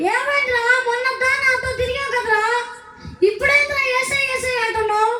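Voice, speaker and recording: This is a put-on character voice at an extremely high pitch. It runs at a moderate pace over light background noise. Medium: stage play.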